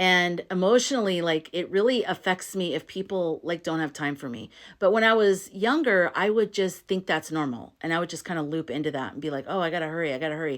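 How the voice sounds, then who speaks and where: A woman with a fairly low pitch talks at a fairly quick pace with hardly any pauses. Her tone is animated, her intonation lively, and the recording is very clean with a silent background. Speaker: astrology content creator. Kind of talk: casual talk-to-camera explainer.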